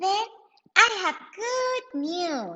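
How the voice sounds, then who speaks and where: Squeaky and extremely high, this female-sounding voice is a put-on character voice. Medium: read story. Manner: giggly, playful.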